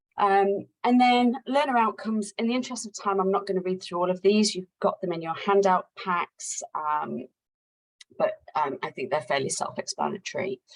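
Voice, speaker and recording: Lively intonation in a British accent at a moderate pace, in a dry, close sound with no echo. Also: woman, medium pitch for a woman. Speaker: occupational therapist, assessment company director. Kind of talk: webinar introduction. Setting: online webinar. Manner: hesitant with many fillers.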